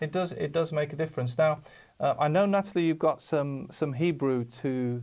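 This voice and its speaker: This man speaks with a British accent at a fairly high pitch and a moderate pace. His pitch varies in an ordinary way, and the background is quiet. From United Kingdom. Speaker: TV programme presenter. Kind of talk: TV presentation. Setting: studio. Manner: halting, many fillers.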